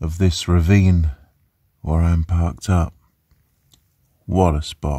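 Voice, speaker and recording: Over a quiet background, a man speaks very slowly in a very deep, low, somewhat breathy voice with a dark, mellow tone and fairly even intonation. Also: dry sound with no echo. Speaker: van life vlogger. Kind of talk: casual vlog chat. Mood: dry humorous. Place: car. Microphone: phone near.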